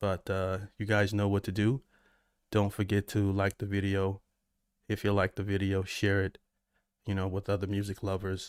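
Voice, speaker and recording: A man with an American accent talks in a fairly low, flat monotone, leaving long, frequent pauses. The recording is very clean with a silent background and a dry, close sound with no echo. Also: moderate pace. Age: 40s. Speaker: music reaction streamer. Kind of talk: live stream chat. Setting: live stream. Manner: casual, halting.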